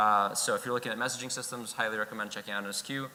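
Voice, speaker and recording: Talking at a very fast pace, a man with a medium pitch and ordinary pitch variation comes through over noticeable background noise. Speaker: conference speaker, software engineer. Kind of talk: conference talk.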